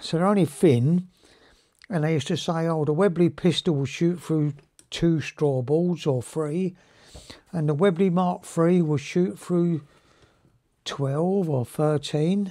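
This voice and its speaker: The tone is dark and mellow, with long, frequent pauses. Delivery is very slow against a quiet background. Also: man, ordinary pitch variation. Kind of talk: tutorial. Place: workshop.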